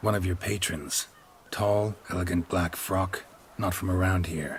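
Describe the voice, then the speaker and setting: A man's put-on character voice at a very deep, low pitch. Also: moderate pace. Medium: video game. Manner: terse, dry.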